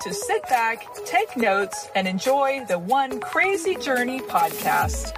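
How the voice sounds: A woman at a fairly slow pace with big pitch swings, clear music playing in the background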